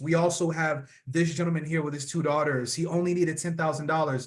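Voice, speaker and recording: The speaker is a man. His pitch is high. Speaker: financial professional. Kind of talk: presentation. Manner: fast.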